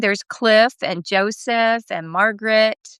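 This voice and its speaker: A woman's fairly high voice with fairly even intonation, dry and close with no echo. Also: quiet background. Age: 60s. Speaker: podcast host with cancer. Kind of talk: casual chat. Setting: live video stream.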